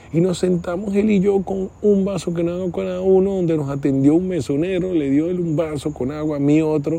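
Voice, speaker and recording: A dark, mellow male voice, moderately paced, its pitch varying in an ordinary way. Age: 40s. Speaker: podcast host, mentor. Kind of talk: solo reflective monologue. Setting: outdoors at night outside his house. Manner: halting, repetitive.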